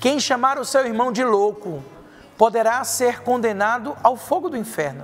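A man talks at a moderate pace in an extremely high pitch, with lively intonation. Music plays in the background, and room echo is audible. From Brazil, Paraíba (João Pessoa). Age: 40s. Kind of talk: sermon.

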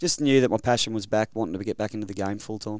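A man talks at a very fast pace in an Australian accent, his intonation fairly even. The recording is very clean, with a silent background. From Queensland, Rockhampton. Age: 30s. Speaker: rugby league development coach. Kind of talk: interview. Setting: studio.

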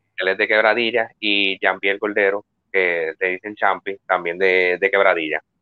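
In a monotone, flat delivery, a man with a fairly low pitch speaks at a moderate pace. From Puerto Rico, Quebradillas. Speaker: musician. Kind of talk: interview. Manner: halting.

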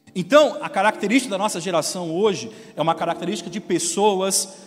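Over noticeable background noise, a man with a high pitch speaks at a moderate pace with lively intonation. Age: young. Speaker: pastor. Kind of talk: sermon.

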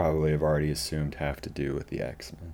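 Here a man speaks at a fairly quick pace. His pitch is very deep and low. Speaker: podcast co-host and writer. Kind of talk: casual chat.

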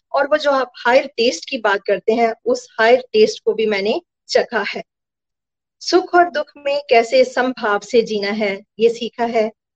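A woman talks high in pitch, with ordinary variation in it. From Punjab, India (Gurdaspur). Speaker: math teacher. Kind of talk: testimony.

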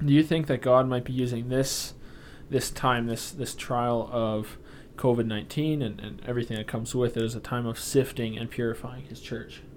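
With a Canadian accent, this man has an unremarkable speaking voice, medium pitch, a moderate pace and fairly even intonation. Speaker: podcast host. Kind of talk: casual chat.

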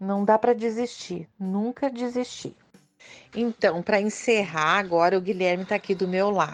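Here is a woman with an unremarkable speaking voice at a medium pitch. She keeps a moderate pace and her pitch varies in an ordinary way. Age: 50s. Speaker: mother of a special-needs son. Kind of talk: recorded testimony.

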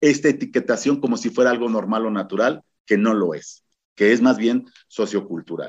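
A man talks with ordinary pitch variation. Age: 50s. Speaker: activist and gender expert. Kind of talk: radio interview. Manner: halting.

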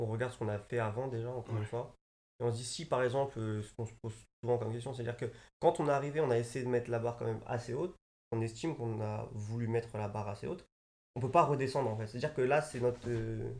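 This man talks at a very fast pace and a medium pitch. His voice is somewhat breathy, with fairly even intonation. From Paris suburbs. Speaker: fashion designer. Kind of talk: casual chat. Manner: halting.

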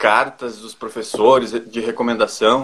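In a southern Brazilian accent, a man speaks at a fairly slow pace. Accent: southern Brazilian (gaúcho) Portuguese. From Brazil, northwestern Rio Grande do Sul. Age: 20s. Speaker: agricultural engineer. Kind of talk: interview.

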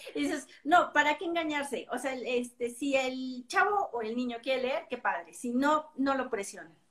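A woman speaks in a high voice with lively intonation. She goes at a fairly slow pace with hardly any pauses. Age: 50s. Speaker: book reviewer. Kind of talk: casual chat.

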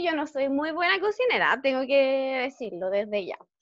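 A woman with a Chilean accent, high-pitched, at a fairly slow pace. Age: 20s. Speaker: lawyer. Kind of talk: interview.

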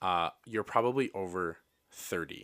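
The tone is bright and sharp, heard on a very clean recording with a silent background. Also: man. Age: 30s. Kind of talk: casual chat.

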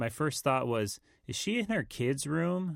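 In a very clean recording with a silent background, a man with a plain, everyday voice speaks at a fairly slow pace with lively intonation. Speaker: musician, co-host. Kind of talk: casual chat, podcast banter. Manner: relaxed, rambling, joking.

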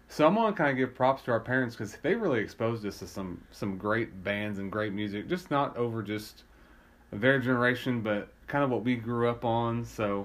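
With an American accent and a normal speaking voice, a man talks at a moderate pace with a medium pitch and ordinary pitch variation. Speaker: podcast co-host. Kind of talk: casual chat.

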